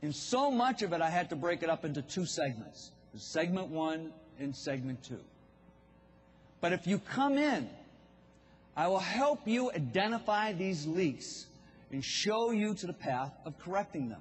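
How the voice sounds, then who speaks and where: A man's high voice in a Boston accent, full of very wide pitch swings and long, frequent pauses. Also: fairly slow pace. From Boston, US New England. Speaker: business speaker for contractors. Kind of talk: keynote speech. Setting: stage with audience.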